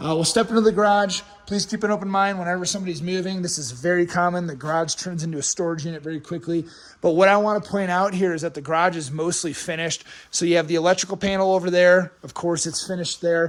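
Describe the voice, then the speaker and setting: A man's high-pitched voice, very fast in pace, with fairly even intonation. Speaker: real estate agent. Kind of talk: property tour walkthrough.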